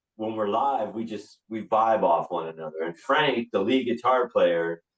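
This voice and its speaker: A man's unremarkable speaking voice, medium in pitch, with ordinary pitch variation and a moderate pace. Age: 60s. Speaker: rock singer and band leader. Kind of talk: casual interview chat. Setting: podcast interview.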